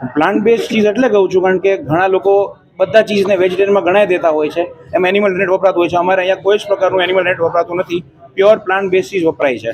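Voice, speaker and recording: A high-pitched male voice with ordinary pitch variation over noticeable background noise. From India, Mumbai. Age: 20s. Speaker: restaurant owner and software engineer. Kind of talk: interview.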